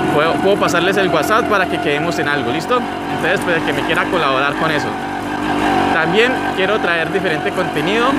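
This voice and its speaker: Loud background noise surrounds a man talking at a fairly quick pace with ordinary pitch variation, the sound dry with no echo. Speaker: motovlogger. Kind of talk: casual vlog chat. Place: motorbike.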